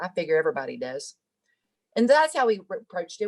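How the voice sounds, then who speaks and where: A woman speaks with a Southern US accent. Her intonation is lively. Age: 50s. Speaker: singer-songwriter. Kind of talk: interview.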